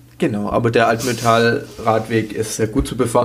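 Against noticeable background noise, a man with a fairly low pitch speaks at a moderate pace in a monotone, flat intonation. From Swabia. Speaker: podcast co-host. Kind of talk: casual chat.

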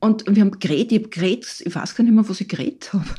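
A woman's fairly high, somewhat breathy voice with a dark, mellow tone, lively intonation and a very fast pace. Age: 60s. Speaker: physician and psychotherapist, author. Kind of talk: interview. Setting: studio.

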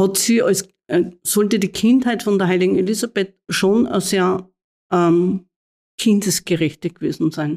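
Medium-pitched female voice at a fairly slow pace, ordinary pitch variation, very clean recording and silent background. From Austria, Mühlviertel (Upper Austria). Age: 60s. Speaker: nun and head of a religious order. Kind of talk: interview. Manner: halting.

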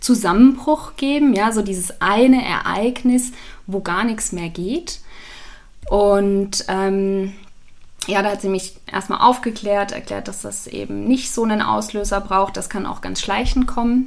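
At a fairly slow pace, a woman speaks at a medium pitch with ordinary pitch variation and big swings in loudness. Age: 30s. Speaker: business founder. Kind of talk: interview. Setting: in person.

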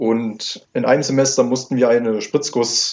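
Fairly slow, flat monotone speech from a man at medium pitch. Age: 20s. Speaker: 3D printing entrepreneur. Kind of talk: interview. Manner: formal.

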